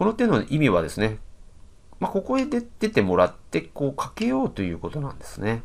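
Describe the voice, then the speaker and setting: Very wide pitch swings run through a man's speech at a fairly quick pace. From Japan. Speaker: professional go player and commentator; commentator. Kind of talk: game commentary. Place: home room. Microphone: webcam.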